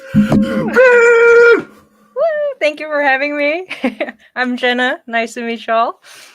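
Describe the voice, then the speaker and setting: This woman speaks at a very slow pace in a high voice, her pitch swinging very widely. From South Korea. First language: Korean. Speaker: theme park design coordinator. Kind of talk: interview. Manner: halting.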